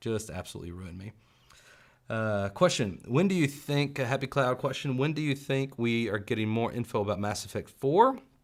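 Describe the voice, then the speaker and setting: A man with a slight Southern US accent at a fairly quick pace, ordinary pitch variation, in a very clean recording with a silent background. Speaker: gaming youtuber. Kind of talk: live stream chat.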